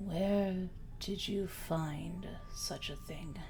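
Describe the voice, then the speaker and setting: A woman at a medium pitch puts on a character voice. Clear background noise runs under her. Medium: actual play. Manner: reserved, a little stiff.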